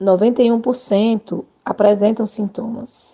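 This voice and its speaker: The woman's voice has a dark, mellow tone. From Alagoas, Brazil (Arapiraca). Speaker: nursing professor. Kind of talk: radio interview. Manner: halting, many fillers.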